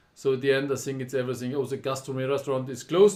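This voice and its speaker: The speaker is a man. He talks with a German accent. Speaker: poker tournament director and live streamer. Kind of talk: casual live stream monologue. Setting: live stream.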